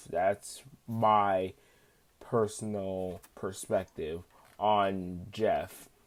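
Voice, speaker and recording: Speaking very slowly, a man uses a fairly low pitch and a monotone, flat intonation. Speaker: YouTuber. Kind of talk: casual cartoon commentary to camera.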